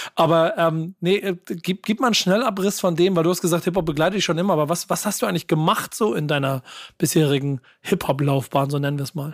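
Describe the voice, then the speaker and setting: Very fast and high-pitched, a man speaks with ordinary pitch variation in a dry, close sound with no echo. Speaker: podcast host. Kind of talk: casual podcast chat.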